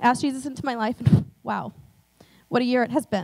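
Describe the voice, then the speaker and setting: Speech at a very fast pace comes over a quiet background. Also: woman. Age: 20s. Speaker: church member being baptized. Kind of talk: testimony. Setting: church. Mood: earnest, personal. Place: stage. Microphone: handheld.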